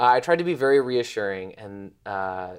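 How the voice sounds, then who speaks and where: A man with an American accent talks in a plain, everyday voice at medium pitch. His intonation is lively, and the recording is very clean with a silent background. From Chicago, US. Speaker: medical fellow. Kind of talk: interview storytelling.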